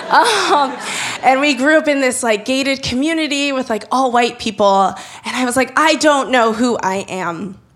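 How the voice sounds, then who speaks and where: With an American accent and a high pitch, a woman speaks at a moderate pace using lively intonation while noticeable background noise carries on behind her. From Los Angeles. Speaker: photographer and writer. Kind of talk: live storytelling. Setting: stage with live audience. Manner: casual, animated.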